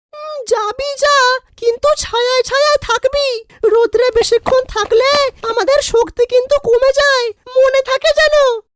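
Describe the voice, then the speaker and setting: A female-sounding cartoonish character voice, extremely high in pitch for a woman, moves at a fairly slow pace. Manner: sharp, scolding.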